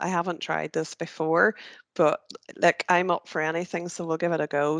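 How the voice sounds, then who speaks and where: A woman with a Northern Irish accent speaks with a very deep, low pitch and fairly even intonation. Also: quiet background. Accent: Northern Ireland (North Antrim). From Northern Ireland, North Antrim. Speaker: careers trainer. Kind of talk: tutorial. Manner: casual, hesitant with many fillers.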